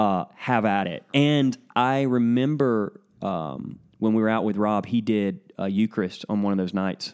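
Fairly low in pitch and with a Southern US accent, a man speaks at a fairly slow pace with ordinary pitch variation. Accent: Southern American. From US South (northern Florida, Alabama, Georgia, Tennessee). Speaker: pastor. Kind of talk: casual interview conversation. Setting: at a kitchen table at home, in person.

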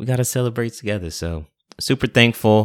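A man talks with ordinary pitch variation and a moderate pace, captured in a very clean recording against a silent background. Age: 30s. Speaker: pharmacy podcast host. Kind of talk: casual solo talk. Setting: video recording. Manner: animated.

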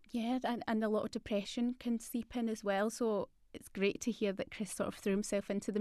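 A woman speaks fairly quickly in a Scottish accent, with a fairly high pitch. The background is quiet. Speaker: podcast host. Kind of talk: casual interview chat. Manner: warm, enthusiastic.

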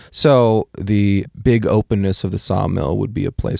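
A man with an American accent speaks at a fairly slow pace in a plain, everyday voice, fairly low in pitch with ordinary pitch variation. The recording is very clean with a silent background, and the sound is dry and close with no echo. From Washington State. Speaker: photographer and artist. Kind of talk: casual chat. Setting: studio.

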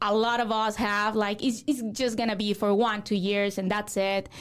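Recorded very cleanly against a silent background, a woman with a Mexican accent speaks at a fairly high pitch. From Mexico. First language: Spanish. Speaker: real estate broker. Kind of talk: interview.

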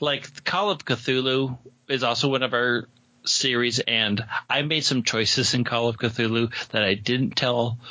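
A man with a plain, everyday voice speaks at a fairly slow pace and medium pitch, his intonation fairly even and his loudness very even. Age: 40s. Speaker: podcaster and game master. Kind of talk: casual interview chat.

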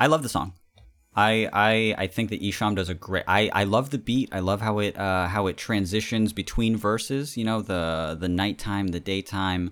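On a very clean recording with a silent background, a man with a fairly low pitch and an American accent speaks at a moderate pace with ordinary pitch variation. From California. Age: 30s. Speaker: musician, podcast guest. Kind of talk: casual chat.

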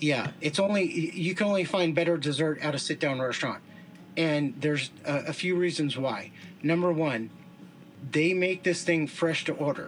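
With an American accent, a man speaks at a moderate pace in a plain, everyday voice, with fairly high pitch, ordinary pitch variation and very even loudness. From Southern California. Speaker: food reviewer. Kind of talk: casual chat.

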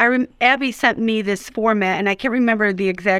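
Using a normal speaking voice, a woman talks at a fairly quick pace, her medium pitch showing ordinary variation. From Buffalo and Syracuse, New York; Puerto Rican family. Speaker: author and playwright. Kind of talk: interview.

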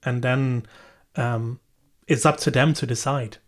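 A somewhat breathy man's voice, fairly high in pitch, at a moderate pace with fairly even intonation, on a very clean recording with a silent background. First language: Dutch. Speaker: data protection lead and podcast host. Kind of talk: interview. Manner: halting, many fillers.

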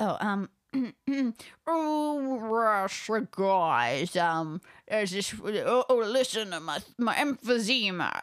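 A put-on character voice from a woman, raspy and wheezy at a fairly high pitch, very slow with long, frequent pauses, on a very clean recording with a silent background

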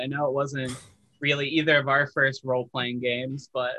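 A man speaks fairly quickly at a medium pitch in an unremarkable speaking voice. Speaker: podcast host interviewer. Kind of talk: casual interview chat.

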